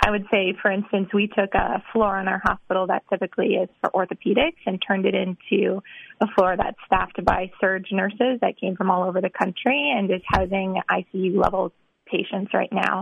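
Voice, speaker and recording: Speaking at a moderate pace with an American accent, a woman uses an ordinary speaking voice at medium pitch with fairly even intonation. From Wisconsin. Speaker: medical resident. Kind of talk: radio interview.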